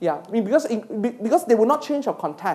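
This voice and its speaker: This woman speaks very fast in a Malaysian accent. Her tone is dark and mellow. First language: not English. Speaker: university lecturer and PhD supervisor. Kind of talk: lecture. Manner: halting.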